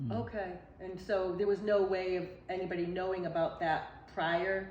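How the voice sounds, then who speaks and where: Here a woman with an unremarkable speaking voice talks at a moderate pace and medium pitch, her intonation fairly even. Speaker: council on aging director. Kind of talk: interview questions.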